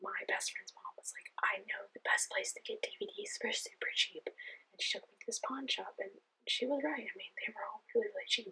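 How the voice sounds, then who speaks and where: A woman speaks softly. Her pace is moderate. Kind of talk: ASMR show-and-tell of DVD collection. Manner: soft-spoken.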